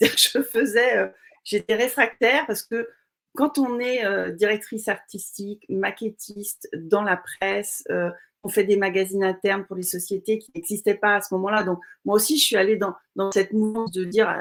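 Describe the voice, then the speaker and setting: A woman speaks in a normal speaking voice at a moderate pace. Her medium pitch shows ordinary variation. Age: 60s. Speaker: entrepreneur. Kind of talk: interview.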